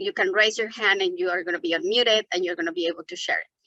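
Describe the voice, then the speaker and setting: A woman with a Mexican accent at a very fast pace, fairly even intonation, a bright, sharp tone, and a dry, close sound with no echo. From Mexico City. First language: Spanish. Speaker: environmental justice advocate. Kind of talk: webinar presentation.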